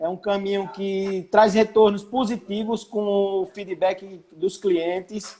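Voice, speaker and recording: High-pitched male speech, its intonation fairly even. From Alagoas, Brazil. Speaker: architect, construction manager. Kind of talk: casual live-stream interview.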